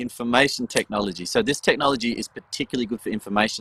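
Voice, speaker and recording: With an Australian accent, a man speaks at a medium pitch in a bright, sharp tone, the sound dry and close with no echo. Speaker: education panelist. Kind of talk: panel discussion. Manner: fast.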